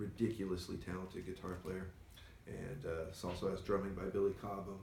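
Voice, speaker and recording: The voice is somewhat breathy and keeps a moderate pace. The room echo is audible. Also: man. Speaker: record store owner and show host. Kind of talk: casual chat. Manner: soft-spoken, doesn't project.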